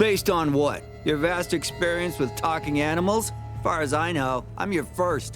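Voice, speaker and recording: With music in the background, a man speaks with lively intonation at a fairly high pitch. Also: moderate pace. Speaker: voice of a talking horse character. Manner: dry, sarcastic.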